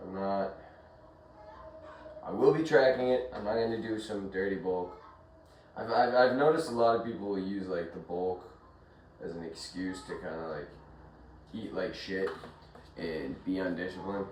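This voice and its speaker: A man with a fairly low pitch and ordinary pitch variation speaks at a moderate pace, taking long, frequent pauses and swinging widely in loudness. Noticeable background noise and audible room echo surround him. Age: 20s. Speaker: fitness vlogger. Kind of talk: casual vlog.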